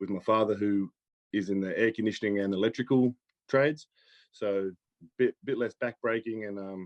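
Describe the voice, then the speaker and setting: With an Australian accent, a man speaks at a fairly low pitch and leaves long, frequent pauses. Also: moderate pace. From Australia, New South Wales. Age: 20s. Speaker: pro bodybuilder. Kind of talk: casual chat.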